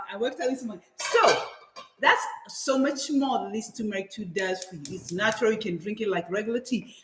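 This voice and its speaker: The speaker talks at a fairly quick pace with lively intonation and big swings in loudness, over noticeable background noise. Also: woman, fairly high pitch for a woman. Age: 60s. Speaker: guest cook on wellness show. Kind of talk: casual cooking and wellness demonstration.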